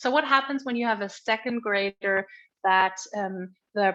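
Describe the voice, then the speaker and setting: This woman has a medium pitch. She speaks at a moderate pace. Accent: German. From Germany (Berlin). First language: German. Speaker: education expert. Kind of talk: conference presentation. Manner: halting, with fillers and restarts.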